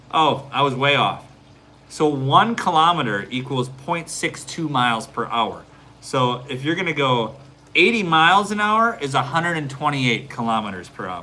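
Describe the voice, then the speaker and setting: A man talks with very wide pitch swings. Room echo is audible. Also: fairly high pitch for a man. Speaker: realtor and family vlogger. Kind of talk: live stream Q&A. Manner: fast; casual, hesitant.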